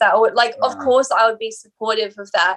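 With an Australian accent, a woman delivers her words in a flat monotone at a fairly high pitch. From Australia, Sydney. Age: 20s. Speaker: musician. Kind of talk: interview.

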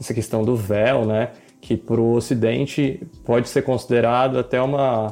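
A normal speaking voice moves at a moderate pace, with fairly even intonation and very even loudness. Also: man, medium pitch for a man. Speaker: podcast co-host. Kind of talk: interview.

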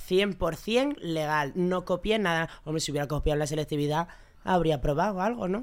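In a very clean recording with a silent background, a woman speaks in a normal speaking voice at a fairly low pitch, a moderate pace and with ordinary pitch variation. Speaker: podcast guest, regular contributor. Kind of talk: casual chat.

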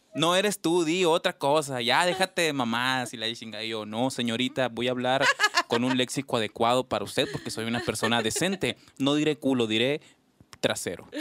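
Moderate pace with ordinary pitch variation. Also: man, medium pitch for a man, dry, close sound with no echo. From Mexico, Sonora (Ures). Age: 40s. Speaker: podcast host. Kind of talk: casual chat. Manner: animated.

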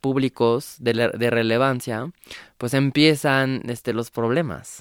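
Someone with a French accent speaks at a fairly slow pace with fairly even intonation. The recording is very clean and dry, close with no echo and a silent background. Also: man. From France. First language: French (speaking Spanish). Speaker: activist. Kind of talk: radio interview. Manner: halting.

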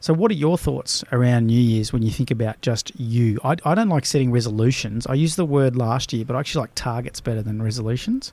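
A man with an Australian accent at a very fast pace and hardly any pauses, medium in pitch with ordinary variation, dark and mellow in tone, in a very clean recording over a silent background. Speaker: business coach and podcast host. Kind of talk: casual chat. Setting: studio.

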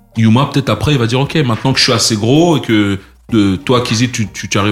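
Over noticeable background noise, a man at a medium pitch talks at a very fast pace with ordinary pitch variation. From France, Paris region (Les Mureaux). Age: 40s. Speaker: music entrepreneur. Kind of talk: interview conversation.

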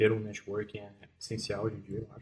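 A somewhat breathy man's voice. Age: 20s. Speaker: back-end software developer. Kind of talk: podcast interview. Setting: studio.

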